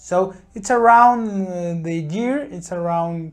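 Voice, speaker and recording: Speaking with a Spanish accent, a man talks at a very slow pace and high pitch with ordinary pitch variation. The recording is very clean, with a silent background. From Mexico. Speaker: YouTuber. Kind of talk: vlog monologue. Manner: halting.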